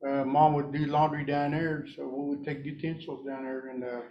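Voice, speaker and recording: A man talks at a moderate pace with monotone, flat intonation. Audible room echo surrounds his voice. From Oklahoma, rural Cherokee community. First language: Cherokee. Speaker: Cherokee language speaker. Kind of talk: talk to audience. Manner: halting, many fillers.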